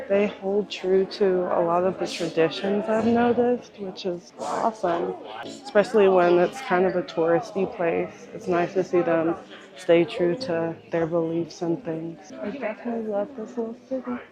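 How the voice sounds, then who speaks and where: Music plays in the background as a woman with a medium pitch speaks at a moderate pace with lively intonation. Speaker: travel vlogger. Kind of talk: travel vlog narration. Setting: hot springs spa.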